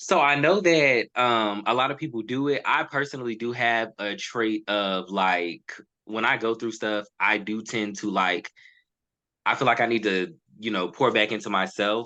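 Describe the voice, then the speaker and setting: A man speaks at a moderate pace with ordinary pitch variation. His tone is bright and sharp against a quiet background. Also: medium pitch for a man. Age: 20s. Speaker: podcast guest. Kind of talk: casual chat. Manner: halting.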